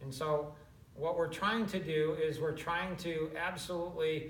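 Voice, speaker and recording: The voice moves at a fairly slow pace with fairly even intonation, and audible room echo surrounds it. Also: man. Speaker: business coach. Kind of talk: casual chat.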